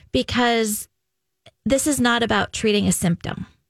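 With a plain, everyday voice, a woman talks at a fairly slow pace and a fairly high pitch, ordinary pitch variation, a dry, close sound with no echo, and a very clean recording over a silent background. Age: 40s. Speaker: women's health clinic doctor. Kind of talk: casual chat.

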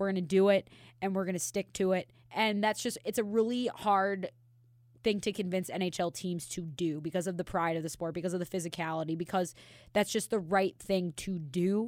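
A woman at a medium pitch and fairly quick pace, on a very clean recording with a silent background. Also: ordinary pitch variation. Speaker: podcast co-host. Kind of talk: casual banter, comedic hockey podcast. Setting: studio. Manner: energetic, teasing, sarcastic.

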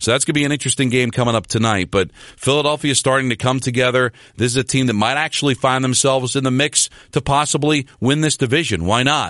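Very fast speech from a man, dry and close with no echo, over a quiet background. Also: medium pitch for a man, ordinary pitch variation, very even loudness. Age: 50s. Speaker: hockey podcast host and sports radio host. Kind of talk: solo sports recap podcast.

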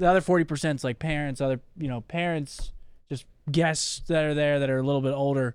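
Here is an ordinary speaking voice, a man's in a fairly high pitch. He talks at a moderate pace with fairly even intonation. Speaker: podcast co-host. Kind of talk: casual chat.

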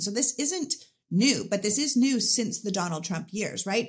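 At a fairly quick pace, a woman speaks with a medium pitch, lively intonation and a somewhat breathy quality. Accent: Canadian. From Canada. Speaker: political commentator and podcaster. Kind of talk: interview conversation.

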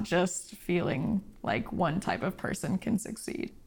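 With an American accent, a woman talks at a fairly slow pace, somewhat breathy, with lively intonation. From rural Oregon. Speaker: illustrator. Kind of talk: interview.

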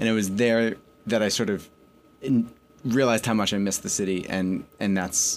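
A man speaks in an unremarkable speaking voice with an American accent, at a fairly quick pace. His intonation stays fairly even, and the recording is very clean with a silent background. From New York, with teen years in Connecticut. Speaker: magazine editor. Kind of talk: interview. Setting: radio studio.

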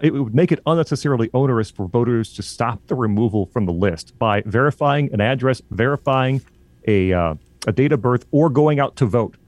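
A man with an American accent and a normal speaking voice, medium-pitched, fairly quick, with lively intonation. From Illinois. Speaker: college radio station manager and podcast host. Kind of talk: casual political talk show discussion.

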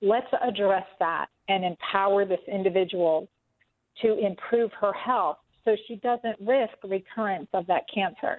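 In a dry, close sound with no echo, a woman speaks at a fairly slow pace with a medium pitch and ordinary pitch variation.

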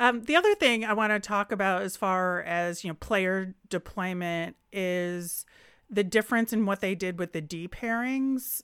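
With an ordinary speaking voice, a woman talks at a medium pitch and a fairly slow pace with ordinary pitch variation, in a dry, close sound with no echo and a very clean recording over a silent background. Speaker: sports podcast co-host. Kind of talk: casual sports analysis chat.

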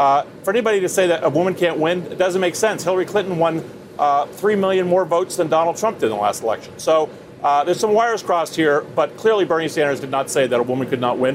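Over noticeable background noise, a man with a high pitch for a man rattles along at a very fast pace with lively intonation. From Vermont. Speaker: campaign adviser. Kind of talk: live TV interview. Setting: outdoors.

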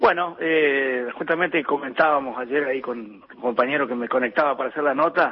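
A man talks at a moderate pace with fairly even intonation and a fairly high pitch, with noticeable background noise behind him. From Argentina. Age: 50s. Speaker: dairy farmer and farmers' association leader. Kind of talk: phone interview. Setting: phone call. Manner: halting, frequent repetitions and fillers.

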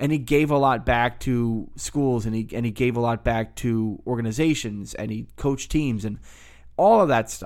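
In a very clean recording with a silent background, a man speaks at a moderate pace with a normal speaking voice, a medium pitch and ordinary pitch variation. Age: 30s. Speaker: sports podcast host. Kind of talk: solo sports podcast monologue. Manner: casual, conversational.

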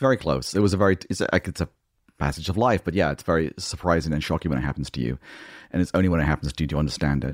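A man with an English accent speaks at a very fast pace in a very deep, low voice with vocal fry and ordinary pitch variation, recorded very cleanly against a silent background with a dry, close sound and no echo. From Australia, then England from age nine. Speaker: TV writer and producer. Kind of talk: casual chat.

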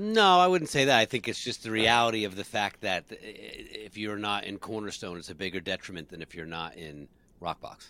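With an American accent, a man speaks at a fairly quick pace in a bright, sharp tone, his loudness swinging widely over a very clean recording with a silent background. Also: fairly low pitch for a man, lively intonation. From New Jersey. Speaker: musician and podcast co-host. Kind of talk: casual chat, live broadcast.

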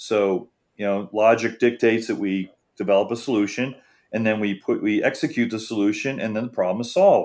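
Here is a man with an ordinary speaking voice and an American accent. His medium pitch shows ordinary variation at a fairly quick pace. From Florida, Treasure Coast (Jensen Beach). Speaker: journalist. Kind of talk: interview.

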